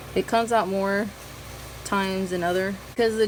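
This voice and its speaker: A woman at medium pitch with a slight Southern US accent, fairly even intonation and a moderate pace, over noticeable background noise. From US South. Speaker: beauty vlogger. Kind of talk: makeup tutorial chat. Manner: casual, chatty.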